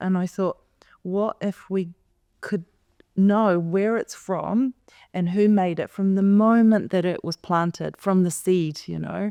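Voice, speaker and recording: With a dark, mellow tone and a medium pitch, a woman speaks at a moderate pace with fairly even intonation, in a very clean recording with a silent background and a dry, close sound free of echo. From New Zealand (Polish background). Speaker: fashion brand founder. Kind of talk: podcast interview. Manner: casual, many fillers and restarts.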